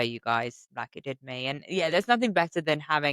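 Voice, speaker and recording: Speaking fairly quickly with a British accent, a woman uses lively intonation at a very deep, low pitch. The sound is dry and close with no echo, on a very clean recording with a silent background. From Britain. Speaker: podcast host. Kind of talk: interview. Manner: casual.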